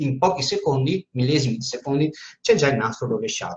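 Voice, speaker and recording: A somewhat breathy voice with a strong Venetian accent at a fairly quick pace, over light background noise. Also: man. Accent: strong Veneto Italian. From Veneto, Italy. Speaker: teacher and spiritual medium. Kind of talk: informal live talk with Q&A. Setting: Facebook live stream. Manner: informal, chatty. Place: office. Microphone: webcam.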